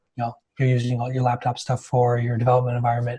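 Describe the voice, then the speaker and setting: A somewhat breathy male voice. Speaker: developer advocate. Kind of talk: technical talk. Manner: fast.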